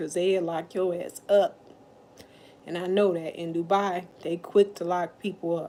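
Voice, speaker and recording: Loud and dark, mellow in tone, a woman speaks at a fairly low pitch with monotone, flat intonation. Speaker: livestreamer. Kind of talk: casual livestream chat. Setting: at her mother's house.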